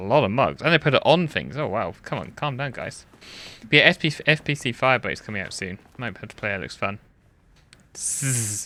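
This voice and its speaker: With a bright, sharp tone and vocal fry, a man talks at a fairly quick pace and medium pitch, using lively intonation and big swings in loudness. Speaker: gaming video creator. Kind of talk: gameplay commentary. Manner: casual, halting.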